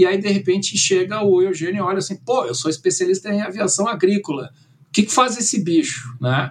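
Speech at a fairly quick pace, with lively intonation, is accompanied by noticeable background noise. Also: man, high pitch for a man. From Brazil, moved from Germany at age nine. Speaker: drone company director. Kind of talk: interview.

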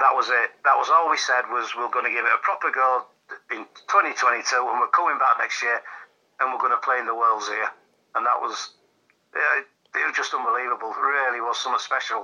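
The speaker talks fairly quickly in a Yorkshire accent. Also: man. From Yorkshire, England. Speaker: darts player. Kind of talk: casual interview.

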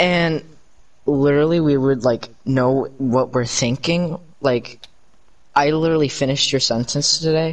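A man speaks in an unremarkable speaking voice at a fairly high pitch. His pace is fairly slow, with fairly even intonation and very even loudness. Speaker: podcast co-host. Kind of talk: casual chat.

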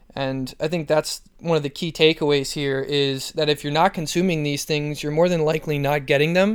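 In a plain, everyday voice, the speaker keeps a moderate pace with fairly even intonation and hardly any pauses. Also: man, fairly high pitch for a man. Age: 20s. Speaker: athletic trainer. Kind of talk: solo podcast talk.

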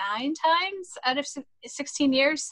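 A woman talks with a bright, sharp tone. Her pitch varies in an ordinary way. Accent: American. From Western Massachusetts. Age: 50s. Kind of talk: interview.

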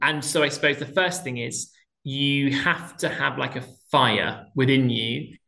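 Speaking at a fairly slow pace, a man with a fairly high pitch and vocal fry keeps his intonation fairly even. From southwest England, Plymouth. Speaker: theatre director. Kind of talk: interview.

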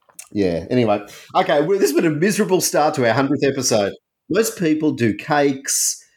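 Very clean, with a silent background, the recording captures a man with a fairly high pitch and vocal fry, speaking at a fairly quick pace with very wide pitch swings and very even loudness. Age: 40s. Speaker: book podcast co-host. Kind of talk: casual book discussion.

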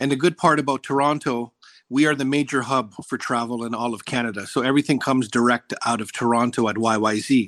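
A man with a medium-pitched voice talks at a fairly quick pace, the sound dry and close with no echo against a quiet background. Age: 40s. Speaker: travel enthusiast, resort loyalty member. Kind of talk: interview. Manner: enthusiastic.

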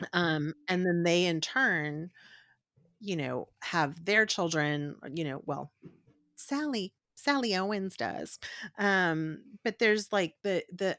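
A woman with an American accent speaks at a very slow pace, her fairly low voice carrying lively intonation. The sound is dry and close with no echo, on a very clean recording with a silent background. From South Texas (Corpus Christi). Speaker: podcast host, guest. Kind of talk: casual chat.

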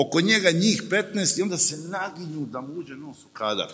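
A man's fairly high-pitched, animated voice with vocal fry. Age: 50s. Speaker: TV journalist. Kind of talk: panel discussion.

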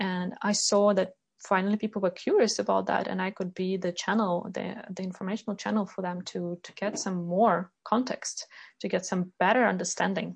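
A woman speaks at a medium pitch and a moderate pace, her somewhat breathy voice keeping a fairly even intonation. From Ukraine, Kyiv. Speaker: leadership coach. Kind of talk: interview.

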